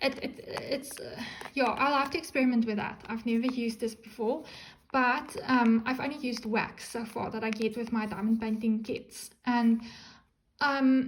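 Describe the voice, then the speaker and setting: Speaking at a moderate pace, a woman uses a high pitch and a non-native accent. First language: not English. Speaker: crafting YouTuber. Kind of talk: unboxing video. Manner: hesitant, many ums; animated.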